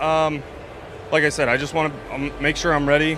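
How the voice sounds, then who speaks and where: A man talking at a very fast pace amid noticeable background noise and audible room echo. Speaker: baseball relief pitcher. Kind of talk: postgame interview. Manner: halting, many fillers.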